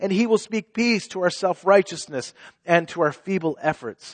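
In a dry, close recording with no echo, a man speaks at a high pitch with ordinary pitch variation. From Israel. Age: 30s. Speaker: pastor. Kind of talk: sermon. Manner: halting.

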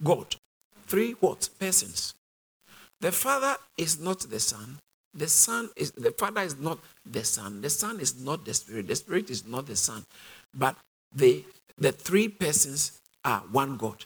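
Long, frequent pauses break up a man's fairly slow speech, his fairly high voice showing vocal fry and very wide pitch swings. The recording is very clean, with a silent background. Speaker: preacher. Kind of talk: sermon.

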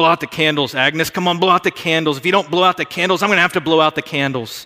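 Using a gruff, put-on character voice, a man talks at a very fast pace in a fairly high pitch with fairly even intonation. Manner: mumbling.

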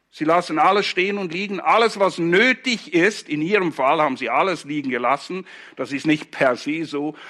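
With a bright, sharp tone, a man speaks at a high pitch. His intonation is lively and his pace moderate. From Switzerland, Zurich Oberland (Hinwil). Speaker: pastor. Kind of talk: sermon.

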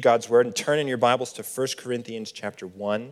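Using an ordinary speaking voice, a man with a General American accent talks at a medium pitch with ordinary pitch variation. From Colorado. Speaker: campus minister. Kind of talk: sermon. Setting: church.

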